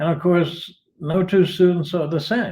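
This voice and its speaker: In a dark, mellow tone, a man delivers his words fairly slowly. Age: 80s+. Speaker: retired philosophy teacher, online writer. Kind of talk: interview answers. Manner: halting, many restarts.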